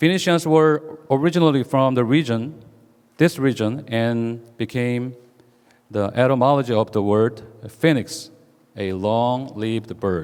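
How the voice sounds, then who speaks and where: A man speaks with a Korean accent at a medium pitch. His pace is fairly slow, with ordinary pitch variation. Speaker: pastor. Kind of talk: sermon. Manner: halting, with many fillers.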